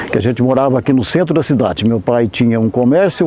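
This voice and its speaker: A man speaks with lively intonation. Background noise is noticeable. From Brazil, coastal São Paulo state (Caraguatatuba). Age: 70s. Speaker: musician and conductor. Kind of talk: interview storytelling. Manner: casual, with hesitations.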